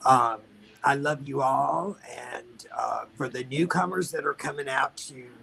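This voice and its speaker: This is a man talking. There's noticeable noise in the background. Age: 50s. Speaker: drag performer, former pageant winner. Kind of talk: tribute speech on a video call.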